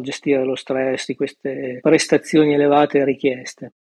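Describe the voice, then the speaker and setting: Here a man talks at a moderate pace in a fairly high pitch. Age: 40s. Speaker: engineer sharing personal money story. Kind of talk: personal testimony interview.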